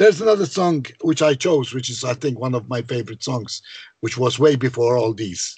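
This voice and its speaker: Somewhat breathy, the voice moves at a fairly quick pace with lively intonation and a Maltese accent. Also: man, medium pitch for a man. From Malta. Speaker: composer and songwriter. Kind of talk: interview.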